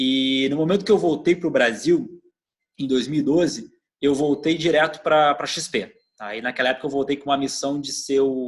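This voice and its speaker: At a moderate pace, a man with a fairly high pitch speaks in a southern Brazilian accent. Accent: gaúcho (southern Brazilian). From southern Brazil (Rio Grande do Sul). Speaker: customer experience executive. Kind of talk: interview. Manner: hesitant, with repetitions.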